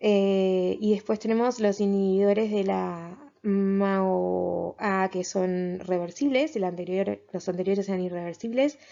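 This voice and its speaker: A woman speaks at a very slow pace with hardly any pauses. Her pitch variation is ordinary. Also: medium pitch for a woman. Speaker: biologist and mental health educator. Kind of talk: lecture. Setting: presenting slides. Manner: stammering, halting.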